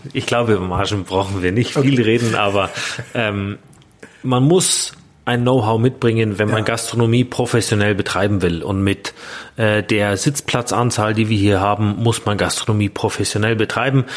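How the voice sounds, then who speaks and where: A man's fairly low voice at a moderate pace, with fairly even intonation, very even loudness and noticeable background noise. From Bavaria, Grünwald near Munich. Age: 30s. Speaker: innkeeper. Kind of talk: casual interview. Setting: in a restaurant.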